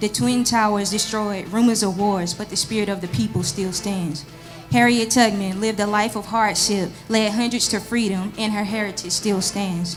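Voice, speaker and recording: Music in the background beneath speech of ordinary pitch variation. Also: woman, medium pitch for a woman, moderate pace. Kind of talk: spoken word poetry performance. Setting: live church service.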